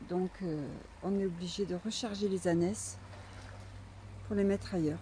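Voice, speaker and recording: A woman's voice is somewhat breathy, with a dark, mellow tone. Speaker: donkey breeder. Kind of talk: casual vlog narration. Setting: outdoors. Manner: soft-spoken at times.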